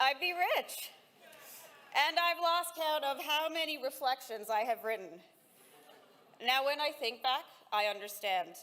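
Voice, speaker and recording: Her raised, projected voice high in pitch, a woman speaks at a fairly slow pace with lively intonation, very even loudness and long, frequent pauses. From Saudi Arabia. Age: 40s. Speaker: valedictorian graduate. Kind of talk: commencement speech.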